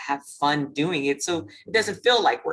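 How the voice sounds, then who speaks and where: A woman with a Louisiana accent at a moderate pace. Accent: Lafayette Louisiana. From Louisiana, Lafayette. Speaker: webinar host. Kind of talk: webinar discussion.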